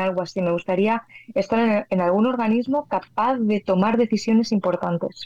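Medium-pitched female voice, an ordinary speaking voice. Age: 30s. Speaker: physicist and meteorologist. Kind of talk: interview.

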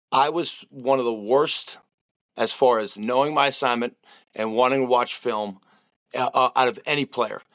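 A man speaks at a medium pitch with an American accent. His pace is moderate and his intonation fairly even. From US Northeast, Boston. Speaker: football strength and conditioning coach. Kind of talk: casual interview.

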